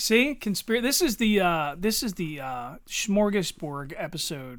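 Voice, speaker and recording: On a very clean recording with a silent background, a man with a Philadelphia accent and a high pitch speaks at a fairly slow pace with very wide pitch swings. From Philadelphia area, US. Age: 40s. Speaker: podcast co-host, army veteran. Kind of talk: casual chat.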